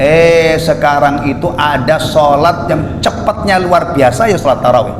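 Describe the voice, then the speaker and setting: A man with a fairly high pitch talks at a fairly slow pace. Audible room echo and noticeable background noise accompany him. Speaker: Islamic preacher. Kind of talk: religious lecture. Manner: conversational, jokey asides.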